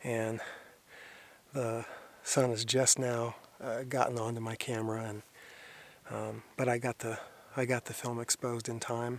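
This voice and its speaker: The voice is quiet and monotone, with flat intonation, a moderate pace and long, frequent pauses. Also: man, medium pitch for a man. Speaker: landscape photographer. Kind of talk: outdoor vlog narration; scripted narration. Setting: outdoors in a canyon. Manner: quiet, keeping voice down.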